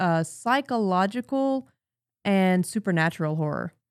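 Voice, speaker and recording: With a plain, everyday voice, the speaker goes at a moderate pace in a very clean, silent-background recording whose sound is dry and close with no echo. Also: woman. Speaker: tabletop game master. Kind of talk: casual chat.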